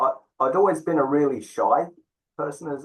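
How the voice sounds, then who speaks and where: A man with a slight English accent at a moderate pace. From England. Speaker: tantra teacher. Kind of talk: interview. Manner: hesitant, many fillers.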